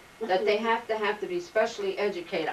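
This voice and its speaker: Someone speaks with a New Jersey accent over noticeable background noise. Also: woman. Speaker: oral history interviewee. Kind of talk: oral history interview. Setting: home.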